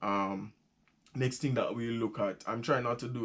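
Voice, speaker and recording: With a Jamaican accent, a man speaks at a moderate pace with ordinary pitch variation. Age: 20s. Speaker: vlogger. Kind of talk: casual talk to camera. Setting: small room.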